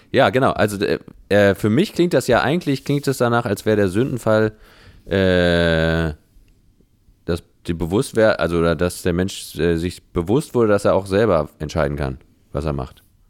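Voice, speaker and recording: Moderately paced speech with lively intonation and long, frequent pauses. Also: man, very deep, low pitch for a man. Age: 30s. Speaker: composer and pianist. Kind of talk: casual interview conversation. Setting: Skype call. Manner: hesitant, many fillers.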